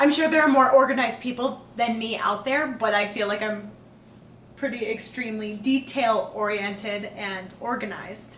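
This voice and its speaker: With audible room echo and noticeable background noise, a woman talks at a moderate pace in a fairly high voice with ordinary pitch variation. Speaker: engaged couple podcast host. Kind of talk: casual chat.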